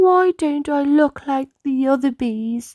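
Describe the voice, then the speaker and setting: A woman's put-on character voice, high in pitch, at a fairly slow pace on a very clean recording with a silent background. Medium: read story. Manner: gentle.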